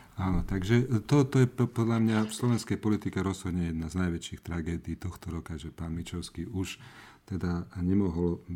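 Recorded very cleanly over a silent background, a man with a very deep, low voice and a dark, mellow tone talks at a moderate pace with ordinary pitch variation. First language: not Slovak (speaking Slovak). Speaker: podcast team member, social media manager. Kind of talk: casual chat.

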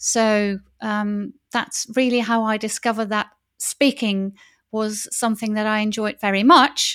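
A woman at a fairly high pitch, in a very clean recording with a silent background. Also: fairly slow pace. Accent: Dutch. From Netherlands. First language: Dutch. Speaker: wedding officiant. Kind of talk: casual interview. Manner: enthusiastic, cheerful.

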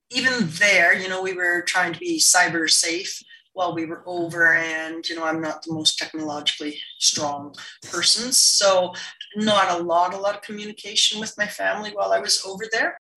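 A woman with a Canadian accent has a plain, everyday voice of medium pitch, talking at a moderate pace with ordinary pitch variation and big swings in loudness. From Canada, northern British Columbia. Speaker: Paralympic wheelchair curler. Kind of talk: interview conversation. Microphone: poor audio quality.

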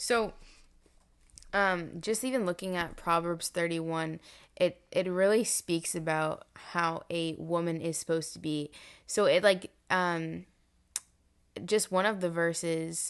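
A woman with an unremarkable speaking voice talks at a fairly slow pace and a fairly low pitch. Her intonation is fairly even, and the background is quiet. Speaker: podcast host. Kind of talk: casual interview.

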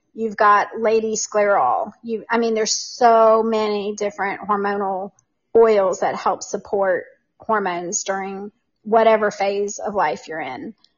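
In an unremarkable speaking voice, a woman of medium pitch talks at a fairly slow pace with ordinary pitch variation. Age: 50s. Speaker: essential oils guest. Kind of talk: casual interview chat. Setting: online livestream.

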